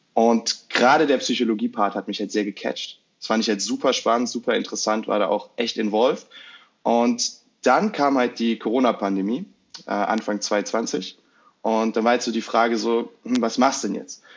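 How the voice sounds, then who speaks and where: An unremarkable speaking voice, this man talks at a moderate pace in a medium pitch with fairly even intonation. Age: 20s. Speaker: marketing psychology content creator. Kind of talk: casual interview.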